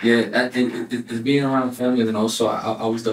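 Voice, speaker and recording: A man speaks very fast in a New York accent, at a medium pitch with monotone, flat intonation. Noticeable background noise runs underneath. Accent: New York-style northern. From South Florida (born Elizabeth, New Jersey). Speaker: rapper. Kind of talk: casual interview. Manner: halting, repeats words.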